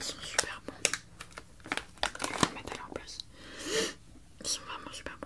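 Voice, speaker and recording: A woman whispers at a moderate pace with long, frequent pauses over noticeable background noise. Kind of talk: ASMR roleplay. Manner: whispered, soft-spoken.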